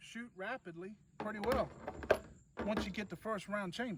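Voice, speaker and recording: Against noticeable background noise, a man talks at a moderate pace in a high pitch with ordinary pitch variation. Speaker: gun reviewer, channel host. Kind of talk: product review at shooting range. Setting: outdoor shooting range.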